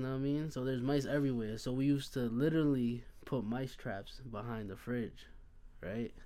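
With a plain, everyday voice, a man talks at a fairly quick pace and ordinary pitch variation. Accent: American. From Hempstead, Long Island, New York. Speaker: podcast guest. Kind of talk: casual chat.

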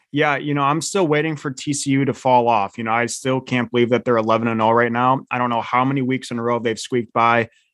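A man with a plain, everyday voice speaks at a medium pitch and a fairly quick pace, with fairly even intonation and hardly any pauses. The sound is dry and close with no echo, over a quiet background. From Michigan. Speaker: sports betting podcast co-host. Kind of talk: casual chat.

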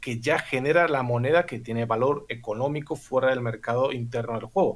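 The man's voice is somewhat breathy. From Bulgaria. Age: 30s. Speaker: former poker player. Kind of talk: casual chat. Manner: articulate, precise wording.

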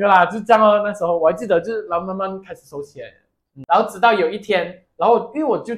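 A very fast pace with ordinary pitch variation and big swings in loudness. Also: man, high pitch for a man. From Malaysia. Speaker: podcast co-host. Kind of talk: casual chat. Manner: animated, laughing often.

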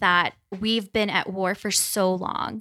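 With an American accent and a bright, sharp tone, a woman speaks at a medium pitch and a fairly slow pace, her intonation fairly even and the recording very clean against a silent background. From New Jersey and Kansas City. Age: 30s. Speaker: Air Force veteran and theology student. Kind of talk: casual interview.

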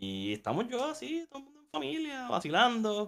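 Moving at a fairly slow pace, a man's voice shows very wide pitch swings. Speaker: podcast co-host. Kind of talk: casual chat.

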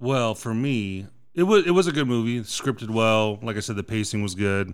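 This is a man speaking. His pitch sits fairly low. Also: very clean recording, silent background. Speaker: movie podcast host. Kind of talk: casual chat. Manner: casual, swears often.

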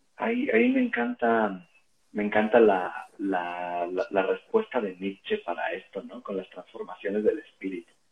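The speaker is a man with a fairly slow delivery. His volume goes up and down a lot. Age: 30s. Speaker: teacher. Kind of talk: casual chat.

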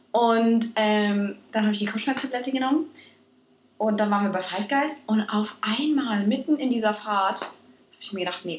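Her tone animated, a woman speaks at a fairly quick pace with a fairly high pitch and ordinary pitch variation. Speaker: podcast co-host. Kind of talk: casual chat. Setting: studio-like home recording with two mics. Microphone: poor recording quality, early episode.

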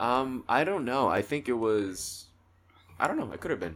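At a moderate pace and medium pitch, a man speaks with lively intonation in a normal speaking voice. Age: 20s. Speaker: podcast guest. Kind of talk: casual chat.

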